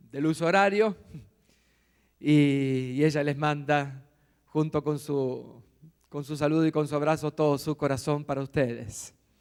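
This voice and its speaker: A man talks at a fairly slow pace with long, frequent pauses, his pitch fairly high and his intonation fairly even. The recording is very clean, with a silent background. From Argentina, Buenos Aires. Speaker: visiting pastor. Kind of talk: sermon. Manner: serious.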